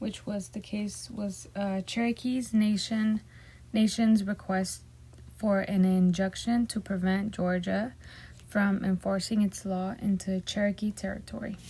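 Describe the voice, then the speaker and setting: In a Spanish accent, a woman with a medium pitch and a dark, mellow, somewhat breathy tone speaks at a fairly slow pace with monotone, flat intonation. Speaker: student. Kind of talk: class presentation. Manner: halting.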